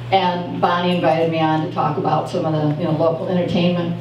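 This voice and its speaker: A woman talks fairly quickly, with noticeable background noise and audible room echo around her. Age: 60s. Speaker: open mic storyteller. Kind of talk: personal storytelling at open mic. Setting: cafe open mic with audience. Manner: hesitant, many fillers.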